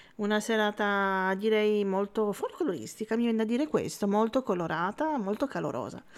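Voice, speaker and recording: A woman speaks in a plain, everyday voice at a moderate pace. Her pitch sits fairly high, with ordinary pitch variation. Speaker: web radio host. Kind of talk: casual radio interview. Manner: warm, laughs often.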